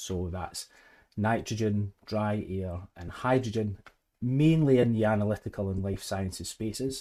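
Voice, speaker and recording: A dark, mellow voice with a Scottish accent speaks at a fairly slow pace with ordinary pitch variation. The recording is very clean, with a silent background. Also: man, fairly low pitch for a man. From Scotland. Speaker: head of service at a manufacturer. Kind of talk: podcast interview.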